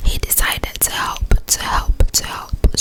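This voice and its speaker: Whispering in a put-on character voice, a woman sounds breathy and moves at a fairly slow pace. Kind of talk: ASMR bedtime story whisper. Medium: read story. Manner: slow, soothing, repeats words.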